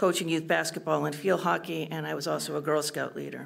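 A woman talks at a fairly quick pace, with vocal fry in her voice. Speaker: school board candidate, special education teacher; candidate, special education teacher. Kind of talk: candidate debate. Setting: stage with audience. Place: hall. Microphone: podium.

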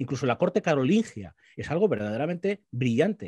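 Somewhat breathy, a man's voice comes across dry with no echo over a quiet background. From Spain, Guadalajara; Spain. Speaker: political commentator. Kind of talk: panel discussion. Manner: halting, many repetitions. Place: home room. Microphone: video call.

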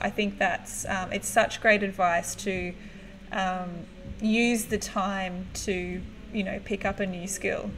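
A woman speaks with an Australian accent in a monotone, flat intonation. There is light background noise. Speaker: livestream host and music photographer; livestream host. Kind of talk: casual live-stream interview. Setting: live video stream. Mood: warm, encouraging. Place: home room. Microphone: webcam.

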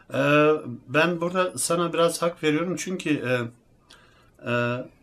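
Ordinary pitch variation from a man. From Germany (Turkish heritage). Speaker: athlete and fitness YouTuber. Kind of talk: casual talk to camera.

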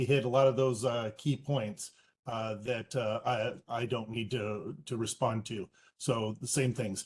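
Here a man talks with fairly even intonation. His voice is somewhat breathy. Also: medium pitch for a man. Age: 60s. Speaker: public commenter. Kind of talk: public comment.

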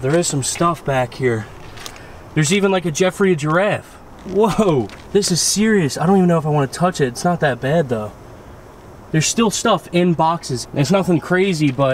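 With light background noise, a man talks at a moderate pace in a high pitch, his intonation lively. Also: dry sound with no echo. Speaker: urban explorer vlogger. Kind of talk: casual vlog chat. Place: street. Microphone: phone near.

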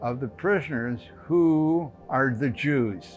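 Clear music in the background accompanies a man as he talks. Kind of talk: interview answer. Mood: calm, reflective. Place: home room. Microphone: lapel.

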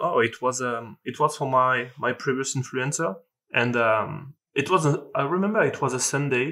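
Here a man speaks with a French accent in a bright, sharp tone, with ordinary pitch variation. The background is quiet. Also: moderate pace. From France. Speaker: sales closer. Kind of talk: podcast interview answer. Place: home room. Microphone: video call.

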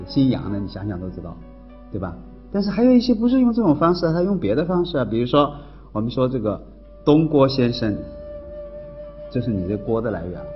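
Long, frequent pauses break up fairly quick speech with very wide pitch swings, while faint music plays in the background. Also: man. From Hubei, China. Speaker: university professor. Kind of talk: university lecture. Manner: casual, conversational. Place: classroom.

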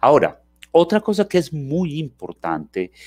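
A man's dark, mellow voice over a quiet background. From Colombia, Antioquia (paisa). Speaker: university lecturer on inclusion. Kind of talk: lecture. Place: home room. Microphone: headset.

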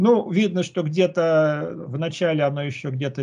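Here a man's voice has a dark, mellow tone and is somewhat breathy. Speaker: researcher; conference presenter. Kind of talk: conference presentation. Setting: video call. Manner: halting. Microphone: video call.

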